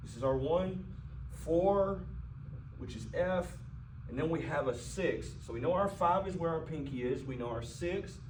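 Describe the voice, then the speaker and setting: Fairly high-pitched male speech at a moderate pace with ordinary pitch variation, long and frequent pauses, and audible room echo. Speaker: piano teacher. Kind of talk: tutorial. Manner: halting.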